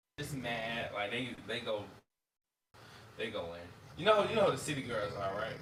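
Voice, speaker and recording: A man with a Florida accent and a medium pitch speaks at a moderate pace, taking long, frequent pauses. His intonation is lively, and room echo is audible. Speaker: streamer. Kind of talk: casual chat.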